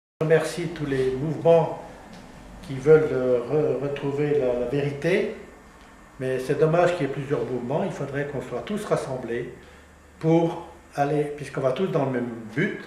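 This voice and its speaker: Speaking at a fairly slow pace, a man with a fairly high pitch and ordinary pitch variation leaves long, frequent pauses amid audible room echo and noticeable background noise. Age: 80s. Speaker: regional independence activist. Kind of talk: casual interview remarks; public speech. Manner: halting, with false starts.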